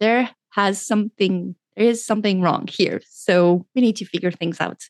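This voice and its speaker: The speaker talks with a French accent at a moderate pace. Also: woman. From France. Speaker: doctor and pleasure coach. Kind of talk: interview.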